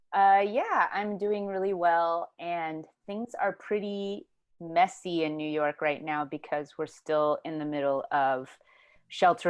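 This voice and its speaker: A woman with an American accent and a normal speaking voice talks at a fairly slow pace, fairly low in pitch with ordinary pitch variation. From Houston, Texas. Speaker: writer and filmmaker. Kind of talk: oral history interview answer. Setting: video call.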